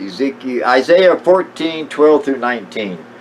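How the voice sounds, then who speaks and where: There's noticeable background noise in this clip. A man is speaking at a moderate pace. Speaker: amateur Bible teacher. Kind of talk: casual monologue. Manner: halting, many fillers.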